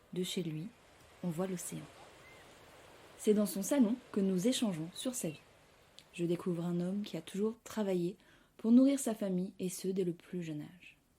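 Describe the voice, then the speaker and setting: A woman's somewhat breathy voice with a dark, mellow tone, medium pitch, ordinary pitch variation, and a moderate pace, on a very clean recording with a silent background. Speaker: podcast host. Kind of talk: podcast narration.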